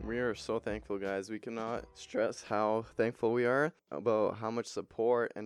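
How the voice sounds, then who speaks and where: Recorded with a dry, close sound and no echo, a man with an unremarkable speaking voice talks at a moderate pace in a medium pitch with fairly even intonation. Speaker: podcast host. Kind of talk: casual chat.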